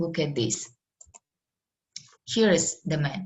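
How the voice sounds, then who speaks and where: A woman speaks with lively intonation in a somewhat breathy voice and a non-native accent. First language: Russian. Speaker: medical lecturer. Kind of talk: online lecture. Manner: halting.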